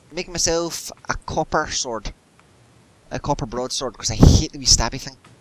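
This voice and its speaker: Against noticeable background noise, a man speaks at a moderate pace with a fairly high pitch, ordinary pitch variation and big swings in loudness. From Scotland. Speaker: gamer. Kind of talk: casual chat while gaming. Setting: voice chat while playing a game. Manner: animated, laughs often.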